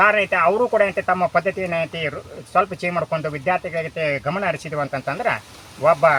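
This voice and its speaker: A high-pitched man's voice with ordinary pitch variation and noticeable background noise. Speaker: retired commerce professor. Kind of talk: interview.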